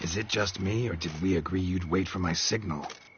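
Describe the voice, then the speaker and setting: A man's put-on character voice, growling and deadpan, very deep and low in pitch, at a fairly quick pace over clear background noise. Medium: video game. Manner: terse, deadpan.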